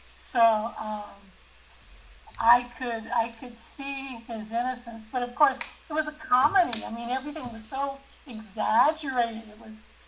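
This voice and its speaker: Speech comes at a fairly slow pace with ordinary pitch variation and big swings in loudness. Noticeable background noise sits underneath. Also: woman, high pitch for a woman. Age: 70s. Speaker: discussion group member. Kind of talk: group discussion.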